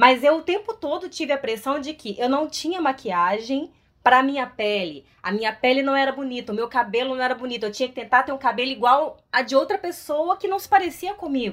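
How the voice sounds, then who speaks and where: A woman with a high pitch talks at a fairly quick pace with hardly any pauses. Her intonation is lively. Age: 30s. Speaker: actress. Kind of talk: casual chat.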